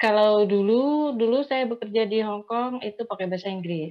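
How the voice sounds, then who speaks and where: The speaker keeps a moderate pace. Pitch variation is ordinary. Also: woman. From Indonesia, Javanese from Blitar, raised partly in Sumatra. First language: Javanese (speaking Indonesian). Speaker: migrant domestic worker and writer. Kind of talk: online panel discussion.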